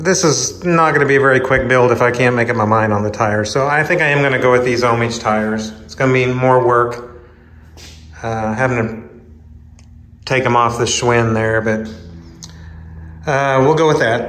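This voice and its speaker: At a moderate pace, a man speaks with ordinary pitch variation over light background noise and audible room echo. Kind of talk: casual tutorial narration. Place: garage. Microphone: phone near.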